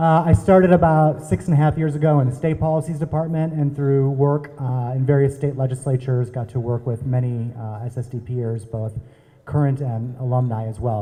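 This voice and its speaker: A man with an American accent talks at a fairly quick pace, his pitch medium with ordinary variation. His tone is dark and mellow, and somewhat breathy. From US Midwest, Minnesota. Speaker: drug policy advocate. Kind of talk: panel introduction.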